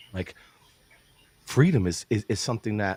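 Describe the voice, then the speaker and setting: A man with a New York accent is heard in a dry, close recording with no echo. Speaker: podcast host. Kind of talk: casual interview chat. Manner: animated.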